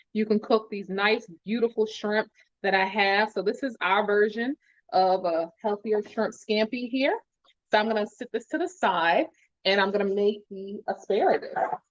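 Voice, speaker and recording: A woman's animated, fairly high voice at a moderate pace, with ordinary pitch variation. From New Jersey. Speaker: pharmacist and cooking show host. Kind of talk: live cooking tutorial. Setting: livestream.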